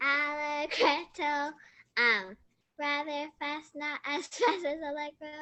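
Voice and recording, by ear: Using a put-on, robotic character voice, a woman speaks at a high pitch and a fairly slow pace.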